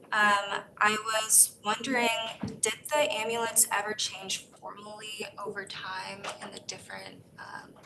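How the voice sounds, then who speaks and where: A soft-spoken woman talks at a very slow pace with fairly even intonation. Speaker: panel discussant. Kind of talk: panel Q&A.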